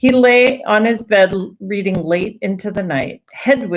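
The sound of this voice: An unforced voice reads, and its pitch varies normally.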